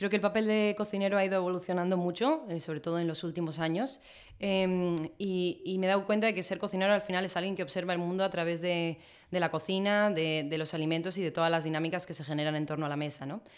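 On a very clean recording with a silent background, a woman with a fairly low pitch talks at a very fast pace with fairly even intonation. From Spain. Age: 20s. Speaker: chef. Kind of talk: interview conversation.

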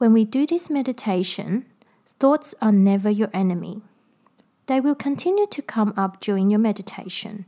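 Speaking at a fairly slow pace, a woman uses a fairly high pitch and a somewhat breathy, dark, mellow tone that is calm and soothing, with lively intonation. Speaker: podcast host and meditation guide. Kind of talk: guided meditation instruction. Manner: calm, slow, soothing, gentle instructional pacing.

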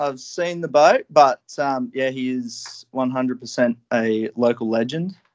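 In an Australian accent, a man speaks at a fairly slow pace with a dry, close sound and no echo. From Australia, Newcastle NSW. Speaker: commercial fly tier. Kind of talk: casual interview chat.

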